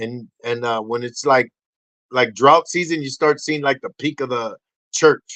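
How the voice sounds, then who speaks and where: Speaking at a fairly slow pace with a Spanish accent, a man sounds animated, his tone bright and sharp, the sound dry and close with no echo. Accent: Spanish accent, tongue-tied at times. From Puerto Rico. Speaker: podcast host, motivational speaker. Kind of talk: casual podcast monologue. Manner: animated, rambling with many false starts.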